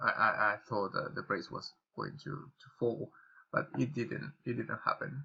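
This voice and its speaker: A man speaks at a fairly slow pace with a Spanish accent. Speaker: trading YouTuber. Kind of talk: tutorial. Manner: halting, many fillers and repetitions.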